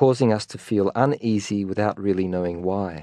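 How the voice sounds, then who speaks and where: A man at a fairly low pitch and fairly slow pace, with ordinary pitch variation, against a quiet background. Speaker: meditation teacher. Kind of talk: guided meditation, calm spoken instruction.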